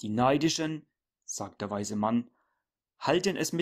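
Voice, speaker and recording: An unremarkable speaking voice with ordinary pitch variation comes through in a very clean recording with a silent background. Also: man. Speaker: preacher. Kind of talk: sermon read aloud. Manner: solemn, formal, measured; earnest, admonishing, didactic.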